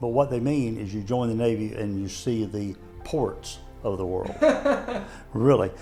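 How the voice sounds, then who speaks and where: The speaker holds a fairly even intonation at a moderate pace, with music in the background. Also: man. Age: 70s. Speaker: army veteran. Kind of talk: interview answer.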